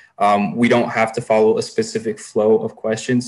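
A man with an American accent, fairly even intonation and a fairly quick pace. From Thousand Oaks, California; California. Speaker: student moderator. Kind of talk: panel moderation. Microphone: video call.

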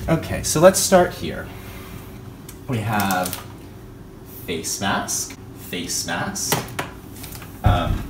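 Over noticeable background noise, a man talks at a very slow pace with a fairly low pitch, lively intonation, big swings in loudness and long, frequent pauses. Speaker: vlogger. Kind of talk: casual vlog chat. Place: kitchen. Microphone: phone near.

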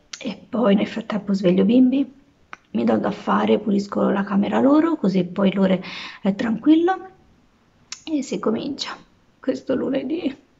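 A woman speaks with lively intonation against a quiet background. She leaves long, frequent pauses. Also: fairly slow pace. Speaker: vlogger and stay-at-home mom; vlogger. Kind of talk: casual vlog talk to camera. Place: home room. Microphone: phone near.

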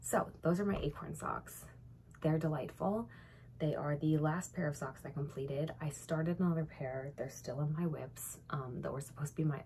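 A woman speaks at a moderate pace with a very deep, low pitch, a dark, mellow tone and vocal fry. Light background noise is present. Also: ordinary pitch variation. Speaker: knitting vlogger. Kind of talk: casual vlog chat. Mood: cheerful, relaxed. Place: home room. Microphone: phone near.

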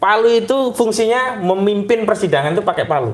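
A man is talking. Room echo can be heard. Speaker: religious teacher discussing a court case. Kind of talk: casual conversation. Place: home room. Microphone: lapel.

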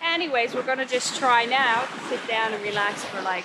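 Over faint background noise, a woman speaks at a fairly quick pace with a bright, sharp tone, fairly high pitch and ordinary pitch variation.

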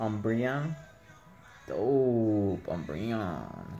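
A man puts on a raspy character voice at a medium pitch with lively intonation. Clear background noise runs beneath him. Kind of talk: casual vlog chat.

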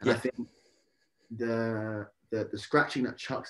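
Someone speaks in a London accent against a quiet background. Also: man. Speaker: rapper. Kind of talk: interview. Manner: halting. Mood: relaxed, friendly. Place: home room. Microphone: video call.

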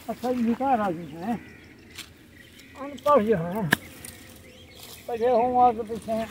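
The voice has ordinary pitch variation, recorded with a dry sound and no echo amid noticeable background noise. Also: man, extremely high pitch for a man. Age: 80s+. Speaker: villager. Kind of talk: interview answer.

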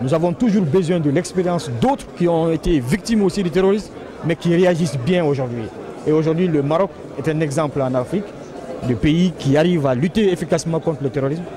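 Delivered at a very fast pace, the speech has a dry sound with no echo and noticeable background noise. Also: man. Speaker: government official. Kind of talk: interview. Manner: formal. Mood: calm, measured. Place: hall. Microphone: handheld.

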